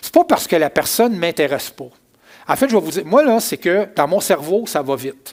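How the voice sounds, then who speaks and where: A man with a Quebec accent, high in pitch, at a fairly quick pace, with very wide pitch swings and big swings in loudness. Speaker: pastor. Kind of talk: sermon.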